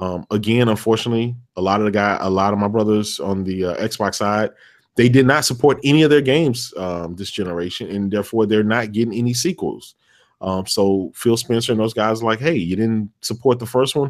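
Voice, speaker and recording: In a very clean recording with a silent background, a man with a fairly low pitch talks at a fairly quick pace in an ordinary speaking voice. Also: ordinary pitch variation. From Texas. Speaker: gaming podcast guest. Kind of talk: casual chat.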